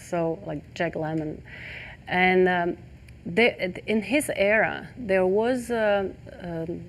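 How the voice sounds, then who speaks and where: A woman with a non-native accent speaks at a very slow pace with ordinary pitch variation. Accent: foreign. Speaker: talk show host. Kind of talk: interview. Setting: studio set. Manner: halting.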